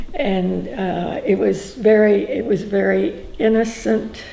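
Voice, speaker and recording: A woman speaks with a Texan accent. Noticeable background noise and audible room echo fill the recording. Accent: Texan Southern US. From Texas (Huntsville, east Texas). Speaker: grandmother interviewed about her life. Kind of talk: oral history interview. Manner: hesitant, many fillers.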